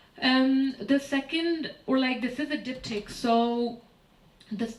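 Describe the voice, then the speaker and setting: In a Pakistani accent, a woman speaks at a very slow pace with ordinary pitch variation, amid audible room echo and noticeable background noise. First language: Urdu. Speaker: artist and curator. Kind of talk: lecture. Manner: hesitant, many fillers.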